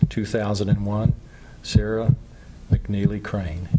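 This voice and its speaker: Somewhat breathy and fairly low-pitched, a man speaks at a moderate pace in a dark, mellow tone. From Baton Rouge, Louisiana. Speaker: author. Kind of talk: TV interview.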